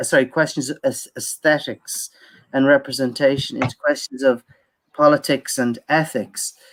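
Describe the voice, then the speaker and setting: Someone with an Irish accent speaks at a moderate pace. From Ireland. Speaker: academic speaker on Irish film. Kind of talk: conference Q&A answer. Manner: halting, many repetitions and fillers.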